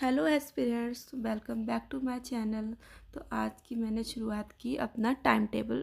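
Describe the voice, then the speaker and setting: A woman's fairly high, somewhat breathy voice with fairly even intonation, on a very clean recording with a silent background. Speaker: exam aspirant vlogger. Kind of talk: casual vlog narration.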